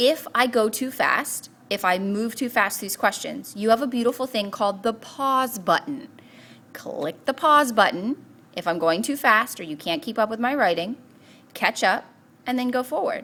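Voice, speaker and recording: A woman speaks with a bright, sharp tone. Her pitch sits fairly high and her intonation is lively. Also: moderate pace. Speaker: math teacher. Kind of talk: tutorial.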